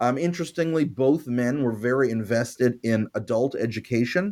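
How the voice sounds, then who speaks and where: A man with a Montreal accent, ordinary pitch variation, very clean recording and silent background. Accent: Canadian English (Montreal). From Canada, Montreal. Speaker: history professor. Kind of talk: interview. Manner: halting, many fillers.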